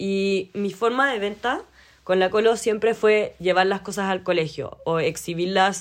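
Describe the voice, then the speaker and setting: Over a quiet background, a woman with a medium pitch talks at a moderate pace with ordinary pitch variation. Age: 20s. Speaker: podcast host and knitting entrepreneur. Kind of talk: solo casual monologue.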